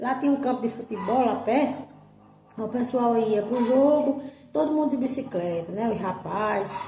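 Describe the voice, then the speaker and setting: The speaker has a northeastern Brazilian accent. Music plays in the background. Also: woman, high pitch for a woman, ordinary pitch variation, moderate pace. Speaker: storyteller. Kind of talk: casual storytelling to camera about childhood memories. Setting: outdoors, rural farm with animal sounds.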